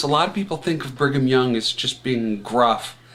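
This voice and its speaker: A man speaks in an American accent. Noticeable background noise can be heard. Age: 60s. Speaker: poet. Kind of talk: personal monologue. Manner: halting.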